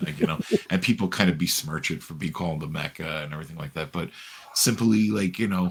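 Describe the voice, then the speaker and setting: A man speaks at a very fast pace in a very deep, low voice. His loudness swings widely. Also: ordinary pitch variation. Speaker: wrestling ring announcer. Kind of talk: interview answer.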